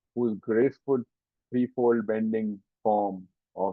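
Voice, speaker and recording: In an ordinary speaking voice, a man speaks at a moderate pace with a fairly low pitch and fairly even intonation. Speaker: spiritual teacher. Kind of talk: lecture.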